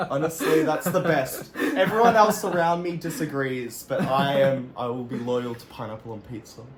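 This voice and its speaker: Against noticeable background noise, a man with a fairly high voice speaks at a moderate pace with hardly any pauses. His intonation is lively and his loudness swings widely. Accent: Australian. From Australia. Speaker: interviewee. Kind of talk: casual interview. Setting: at home.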